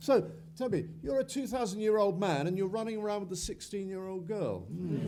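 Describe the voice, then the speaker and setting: Against noticeable background noise, a man speaks in a high pitch at a fairly quick pace with ordinary pitch variation. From Wales. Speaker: actor. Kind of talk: panel interview at fan convention. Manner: halting, many fillers.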